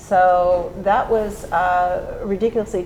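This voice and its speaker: This woman has a plain, everyday voice. She speaks at medium pitch with fairly even intonation. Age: 60s. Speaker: real estate agent. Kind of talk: panel discussion.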